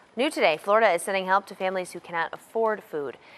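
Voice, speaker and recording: In an American accent, a normal speaking voice moves at a fairly quick pace with ordinary pitch variation. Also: woman. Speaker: news anchor. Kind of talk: television news anchor delivery.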